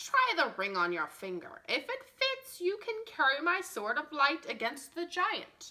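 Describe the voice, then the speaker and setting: A woman's put-on character voice, extremely high-pitched with very wide pitch swings and hardly any pauses. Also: moderate pace. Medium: read story. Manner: knowing, domineering.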